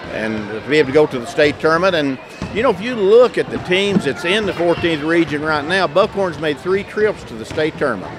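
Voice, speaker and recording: Speaking with an Appalachian accent, a man with a high voice talks fairly quickly and with lively intonation, and there is noticeable background noise. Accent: Appalachian Kentucky. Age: 60s. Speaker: retired basketball coach and school superintendent. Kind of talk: casual interview. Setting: gym during halftime of a broadcast game.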